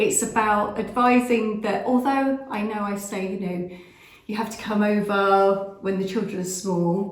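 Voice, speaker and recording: A woman with an English accent speaks slowly at a medium pitch. Her voice carries audible room echo and noticeable background noise. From England, with French family ties. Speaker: vlogger. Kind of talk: casual chat. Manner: hesitant, many fillers.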